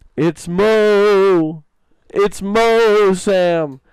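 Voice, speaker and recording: A man puts on a high-pitched character voice. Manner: ghostly, haunting.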